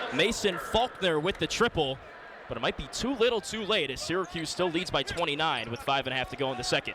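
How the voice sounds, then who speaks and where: The speech comes at a very fast pace with very wide pitch swings. Noticeable background noise is present. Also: man, high pitch for a man. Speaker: radio play-by-play sports broadcaster. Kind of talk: radio sports play-by-play commentary. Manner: fast-paced, excited, energetic live action calling.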